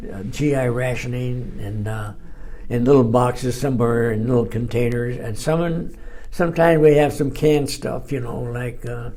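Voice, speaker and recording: Amid noticeable background noise, a man speaks at a moderate pace and medium pitch, with ordinary pitch variation. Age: 80s+. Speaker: war veteran. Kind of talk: interview answer.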